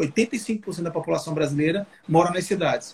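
There's a man speaking at a high pitch with ordinary pitch variation. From Brazil, Alagoas (Maceió). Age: 30s. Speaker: politician, mayoral pre-candidate. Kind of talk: interview on a live stream. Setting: video call live stream.

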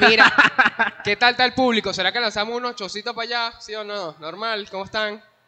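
A man talks at a very fast pace in a raised, projected voice, high in pitch, with fairly even intonation and big swings in loudness. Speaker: podcast host. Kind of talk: casual chat. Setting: live stream in a shopping mall.

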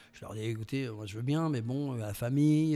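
At a fairly quick pace, a man talks with a medium pitch. His tone is dark and mellow, and his intonation fairly even. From southwest France, Landes coast. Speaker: voice actor. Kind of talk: interview.

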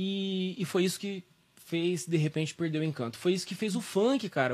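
At a moderate pace, a man talks in a high pitch. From Brazil, São Joaquim da Barra (São Paulo state). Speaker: voice teacher and musician. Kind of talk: casual interview.

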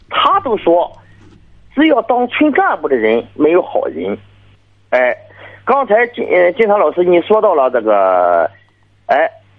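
A man talks fairly slowly, with long, frequent pauses. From Shandong. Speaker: village party secretary, caller. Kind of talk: call-in advice conversation. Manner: halting.

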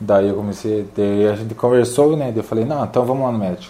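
The voice belongs to a man with a dark, mellow tone. His intonation stays fairly even. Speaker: fitness youtuber, calisthenics athlete. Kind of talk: casual interview.

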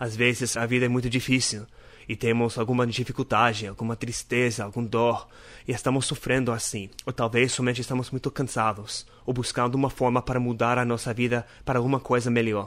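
A man with a non-native accent speaks at a medium pitch and a fairly quick pace. His intonation is monotone and flat. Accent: foreign accent in Portuguese. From North America. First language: English (speaking Portuguese). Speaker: podcast host. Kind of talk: casual devotional talk.

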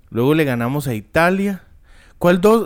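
A man in a Costa Rican accent, fairly slow, with very wide pitch swings and a very clean recording against a silent background. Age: 30s. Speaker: podcast co-host. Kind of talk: casual chat.

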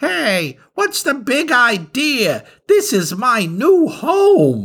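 A man puts on a character voice at an extremely high pitch with very wide pitch swings. He talks at a very slow pace. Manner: indignant, annoyed.

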